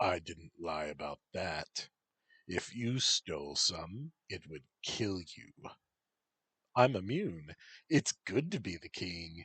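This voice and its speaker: A man in a put-on character voice speaks at a very deep, low pitch, with lively intonation and big swings in loudness. His pace is very slow with long, frequent pauses, and the sound is dry and close with no echo. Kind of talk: archaic, grand. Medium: read story. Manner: theatrical, shifting between masculine and feminine tones.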